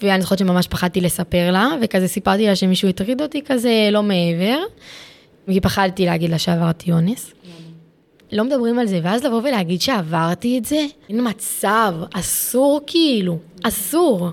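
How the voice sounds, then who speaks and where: Lively intonation marks this woman's medium-pitched voice as she speaks at a moderate pace. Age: 20s. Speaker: psychiatric inpatient sharing her story. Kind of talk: interview testimony. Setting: psychiatric ward. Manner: halting.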